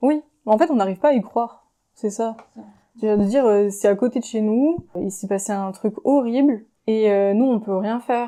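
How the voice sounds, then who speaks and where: Using a dark, mellow tone and a fairly high pitch with ordinary variation, a woman speaks at a moderate pace with long, frequent pauses. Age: 20s. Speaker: feminist activist, tourism worker. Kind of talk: podcast interview answer. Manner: hesitant, casual.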